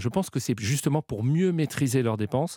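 Dry and close with no echo, this very clean recording of a man has a silent background. His medium-pitched voice is dark and mellow in tone, with lively intonation. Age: 40s. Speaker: retail group executive. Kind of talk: radio interview.

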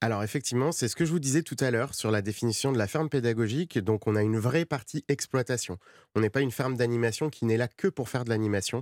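Very fast and at a medium pitch, a man talks with ordinary pitch variation on a very clean recording with a silent background and a dry, close sound with no echo. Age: 30s. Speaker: cattle farmer. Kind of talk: radio interview. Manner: halting.

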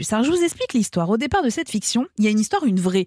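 Somewhat breathy, a woman talks at a fairly high pitch with lively intonation. The recording is dry and close, with no echo. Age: 40s. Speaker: podcast host. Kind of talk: scripted narration.

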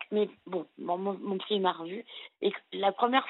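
A woman with a medium pitch keeps a moderate pace, her pitch varying in an ordinary way. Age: 40s. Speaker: caller. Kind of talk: call-in confession.

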